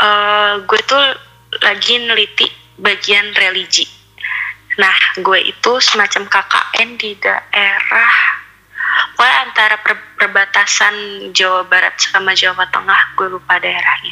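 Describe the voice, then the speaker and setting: A woman's medium-pitched voice at a very slow pace, with monotone, flat intonation, very even loudness and noticeable background noise. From Bandung, West Java, Indonesia. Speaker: podcast listener sharing ghost stories. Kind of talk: storytelling.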